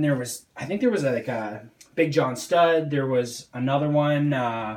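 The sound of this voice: A man's fairly high voice, slightly mellow in tone, with ordinary pitch variation and audible room echo.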